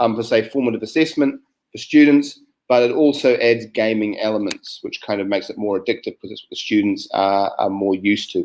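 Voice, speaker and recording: A man with a New Zealand accent talks at a fairly quick pace, his loudness swinging widely. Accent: New Zealand, similar to Australian. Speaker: science educator. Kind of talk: online teacher training presentation. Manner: hesitant, many fillers.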